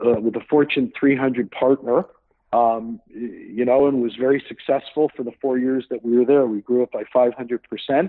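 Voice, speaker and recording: A man speaks in a normal speaking voice, medium in pitch, with fairly even intonation. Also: moderate pace. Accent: Canadian. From Canada, Hamilton, Ontario. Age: 50s. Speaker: startup founder. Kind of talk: interview.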